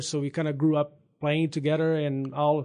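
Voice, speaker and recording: A man speaks with a Brazilian accent at a fairly high pitch. The background is quiet. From Brazil, São Paulo state. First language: Portuguese. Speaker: veterinarian. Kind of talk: testimony.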